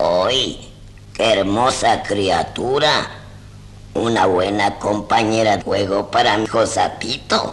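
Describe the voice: Using a put-on character voice, a man talks at a fairly slow pace and fairly low pitch, with clear background noise behind him.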